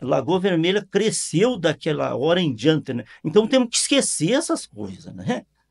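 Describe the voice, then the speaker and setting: A man talks fairly slowly in a high voice with very wide pitch swings. He hardly pauses at all. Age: 70s. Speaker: local party president. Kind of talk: interview. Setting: studio. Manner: halting, many repetitions and fillers.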